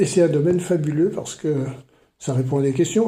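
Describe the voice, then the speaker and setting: A man talks at a moderate pace in a fairly high voice with a dark, mellow tone. Room echo is audible. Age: 70s. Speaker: retired maths teacher and writer. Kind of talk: podcast interview. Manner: hesitant, many fillers.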